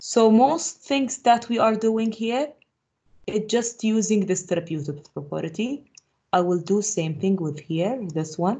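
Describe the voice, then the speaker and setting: Somewhat breathy woman's voice, fairly high and lively in intonation, at a fairly slow pace. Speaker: math teacher. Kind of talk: lecture.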